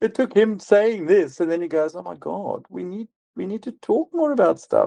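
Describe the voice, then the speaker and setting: The sound is dry and close, without echo. He is a man speaking at a moderate pace. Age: 60s. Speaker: psychiatrist. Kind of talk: podcast interview.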